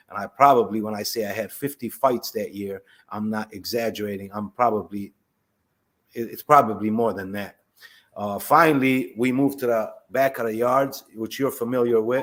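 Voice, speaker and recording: A man speaks in a normal speaking voice with an American accent, at a moderate pace and medium pitch, his intonation fairly even. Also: big swings in loudness. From Palestine, then Chicago from age 12. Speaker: former prisoner. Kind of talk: testimony.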